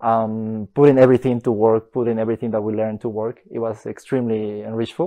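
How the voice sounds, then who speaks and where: A man with a Spanish accent talks at a very fast pace, hardly pausing. His medium-pitched voice stays monotone and flat. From Bolivia. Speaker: master's student. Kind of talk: interview answers. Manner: hesitant, many fillers.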